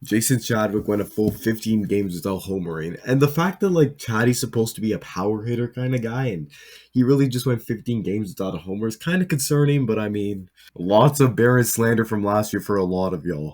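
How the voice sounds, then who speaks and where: Talking at a very fast pace, a man uses a medium pitch with lively intonation. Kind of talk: casual reaction commentary. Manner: animated; filler-heavy, stammering.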